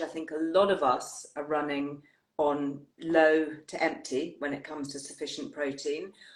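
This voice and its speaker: A woman with an English accent, at a moderate pace. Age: 60s. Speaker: wellbeing show host. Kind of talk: live interview chat. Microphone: technical issues from bad weather.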